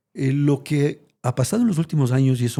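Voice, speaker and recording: Recorded very cleanly over a silent background, a man with a dark, mellow tone speaks at a fairly quick pace with ordinary pitch variation. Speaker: retired corporate executive. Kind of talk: interview conversation. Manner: fast.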